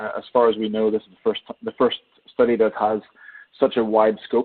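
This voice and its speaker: The intonation is monotone and flat. The speaker has an Irish accent. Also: man. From Ireland. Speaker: energy sector economist. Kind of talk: webinar presentation. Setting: webinar. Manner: hesitant, many fillers.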